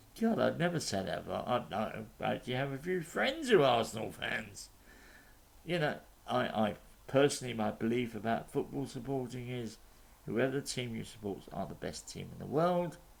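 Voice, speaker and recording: This man has a medium pitch and some vocal fry. He speaks at a moderate pace with lively intonation. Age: 60s. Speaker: YouTube commentator. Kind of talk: opinion monologue. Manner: halting.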